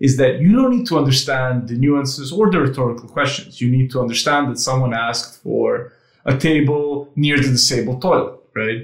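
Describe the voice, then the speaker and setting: A man with a somewhat breathy voice speaks at medium pitch with ordinary pitch variation and hardly any pauses. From Serbia. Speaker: AI company founder. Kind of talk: casual interview. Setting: video call. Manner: fast.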